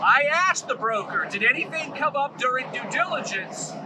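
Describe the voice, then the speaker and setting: Loud and lively in intonation, a man talks at a moderate pace against noticeable background noise. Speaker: commercial real estate broker. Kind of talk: casual vlog storytelling.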